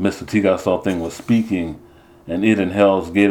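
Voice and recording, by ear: In a natural voice, someone reads aloud.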